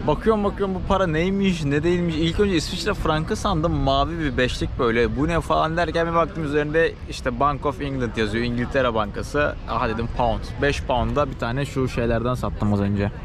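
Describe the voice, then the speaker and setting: A man's fairly high voice with lively intonation, moderate pace, hardly any pauses and very even loudness, plus audible room echo and noticeable background noise. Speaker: travel vlogger. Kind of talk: casual chat. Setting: outdoors.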